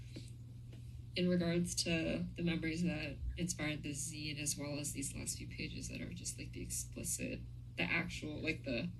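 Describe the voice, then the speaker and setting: Speaking at a medium speed, a woman's voice carries audible echo off the room. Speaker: podcast interviewer. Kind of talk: casual chat.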